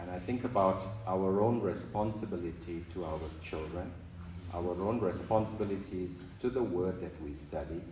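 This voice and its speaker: Very deep, low male pitch amid noticeable background noise. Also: ordinary pitch variation, moderate pace. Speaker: congregation member. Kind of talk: Bible reading and discussion.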